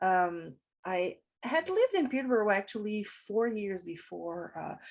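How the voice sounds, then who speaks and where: A woman with a French accent talks at a fairly slow pace in a medium pitch, her intonation lively. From Montreal, Quebec. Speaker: professor and writer. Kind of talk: interview. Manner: halting.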